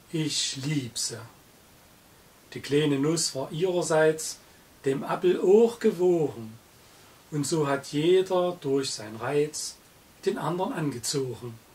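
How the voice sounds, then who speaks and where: A man with a Saxon accent speaks at a fairly high pitch with lively intonation. His pace is very slow, with long, frequent pauses. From Saxony, Germany. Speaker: narrator's father reciting a poem. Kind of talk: poetry reading. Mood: festive, humorous. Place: home room.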